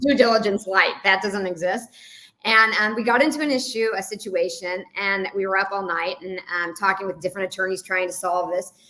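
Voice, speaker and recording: A woman speaks fairly quickly at a medium pitch with ordinary pitch variation over noticeable background noise. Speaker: entrepreneur. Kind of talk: interview. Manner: fast.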